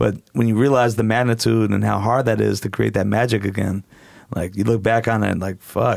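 The speaker talks at a moderate pace in a West Coast accent, with monotone, flat intonation. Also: man, fairly low pitch for a man. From Portland, Oregon, US. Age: 40s. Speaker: DJ and strip club event promoter. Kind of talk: casual chat. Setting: studio.

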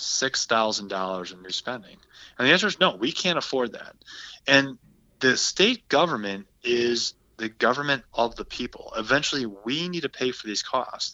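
A man with a Wisconsin accent, medium pitch, lively intonation, a moderate pace and big swings in loudness. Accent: Upper Midwest (Wisconsin). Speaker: state senator. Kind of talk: interview.

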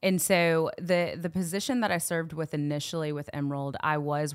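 This voice, with a slight Southern US accent and ordinary pitch variation, comes through in a very clean recording with a silent background. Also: woman. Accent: little Southern twang. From Knoxville, Tennessee. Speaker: youth ministry worker. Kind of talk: casual interview.

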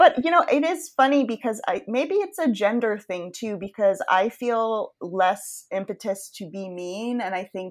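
In a very clean recording with a silent background, a woman with an American accent uses an ordinary speaking voice, lively intonation and a moderate pace. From Maine, US (Yarmouth). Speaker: podcast host. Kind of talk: casual chat.

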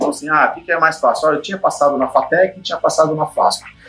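A man talking at a very fast pace. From Brazil, São Paulo. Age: 50s. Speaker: IT executive. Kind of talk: interview.

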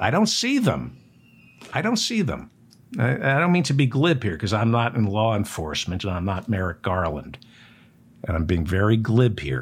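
At a moderate pace, a man with an American accent speaks at a medium pitch with vocal fry, very wide pitch swings, and long, frequent pauses. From New Jersey. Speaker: political talk show host. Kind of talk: news commentary monologue.

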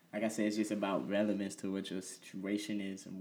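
A man with an unremarkable speaking voice talks at a moderate pace and a fairly low pitch. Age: 20s. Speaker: DJ and producer. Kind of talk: casual interview.

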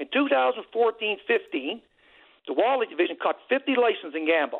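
With a Newfoundland accent, a man talks at a moderate pace, his pitch swinging very widely. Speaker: caller, hunter. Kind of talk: radio call-in. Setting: phone call.

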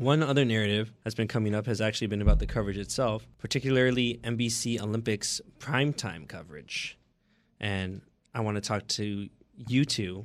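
A man with an American accent talks at a fairly quick pace, his pitch varying in an ordinary way. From Oakland, California. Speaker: podcast co-host. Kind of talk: casual chat. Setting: studio.

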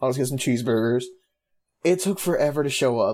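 Fairly quick in pace, a man talks in an unremarkable speaking voice at medium pitch with ordinary pitch variation. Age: 20s. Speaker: podcast co-host. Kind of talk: casual chat.

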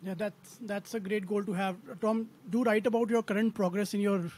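Talking in an Indian accent, a man keeps a moderate pace. His high voice has a monotone, flat intonation. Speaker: podcast co-host, value investor. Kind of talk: interview questions.

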